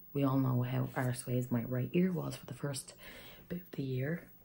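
With an Irish accent, a woman speaks fairly slowly in a very deep, low voice that has vocal fry and a dark, mellow tone. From Ireland. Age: 20s. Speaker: vlogger. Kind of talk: casual talk to camera.

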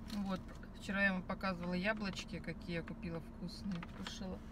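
A woman talks at a fairly quick pace with clear background noise behind her.

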